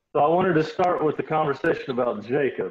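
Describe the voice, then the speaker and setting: A man speaks in a somewhat breathy voice. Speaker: pastor leading a study. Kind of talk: group Bible study discussion. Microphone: video call.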